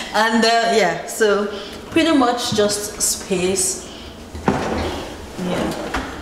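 A woman's voice amid noticeable background noise and audible room echo. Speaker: homeowner vlogger. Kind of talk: casual vlog chat. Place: home room. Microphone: phone near.

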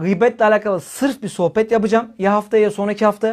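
A man with a high pitch speaks in an animated tone against a quiet background. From Turkey. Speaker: Islamic preacher. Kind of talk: religious talk. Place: home room.

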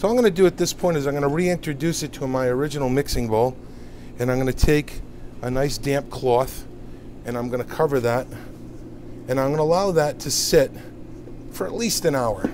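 Light background noise sits behind speech that moves at a fairly quick pace with ordinary pitch variation. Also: man. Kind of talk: tutorial. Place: kitchen.

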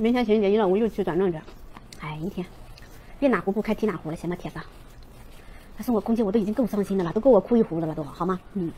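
The speech runs at a very fast pace yet has long, frequent pauses, with ordinary pitch variation and light background noise. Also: woman. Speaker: livestream seller. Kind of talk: live-stream sales pitch. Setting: live-stream room. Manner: fast, loud, hard-sell pitchman patter with countdowns and repeated prices; urgent, rhythmic, shouting 'get on board' calls to 'old iron' buyers. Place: home room. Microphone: lapel.

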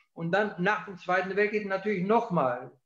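A man's high-pitched voice at a fairly slow pace, with audible room echo against a quiet background. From southern Germany (Ulm, Allgäu); southern Germany. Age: 70s. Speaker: historian; interviewee. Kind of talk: interview. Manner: halting. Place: office. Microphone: video call.

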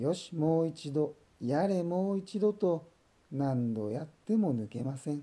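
A man speaks at a fairly high pitch with lively intonation and a dark, mellow, calm, gentle tone. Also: fairly slow pace. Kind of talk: bedtime story reading for children. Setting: voice only.

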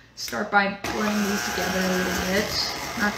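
A woman is heard over noticeable background noise. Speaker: museum staff cooking host. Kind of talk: cooking tutorial. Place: kitchen. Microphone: phone near.

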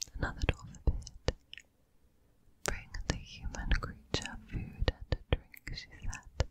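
A woman whispers at a very slow pace. Her voice is breathy. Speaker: ASMR creator. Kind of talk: whispered audiobook reading. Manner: whispered, soft, breathy. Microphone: studio mic.

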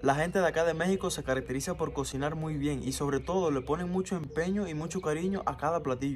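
Over light background noise, a man with a fairly high pitch talks very fast, his pitch varying in an ordinary way. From Cuba. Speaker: vlogger. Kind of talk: casual vlog monologue. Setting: outdoors in backyard. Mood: warm, enthusiastic.

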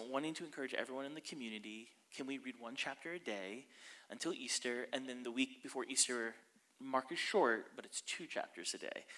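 A man's bright, sharp voice at a fairly quick pace, with ordinary pitch variation. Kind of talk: sermon. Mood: warm, upbeat. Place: church. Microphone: handheld.

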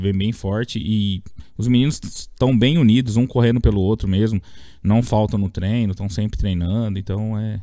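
A man speaks at a moderate pace with a dark, mellow tone and fairly even intonation over a quiet background. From Brazil, interior of São Paulo state. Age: 30s. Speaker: youth futsal coach. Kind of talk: interview. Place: studio. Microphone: studio mic.

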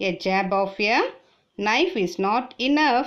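A woman with a Tamil accent speaks very slowly in a fairly high voice with lively intonation. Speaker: teacher. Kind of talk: reading aloud.

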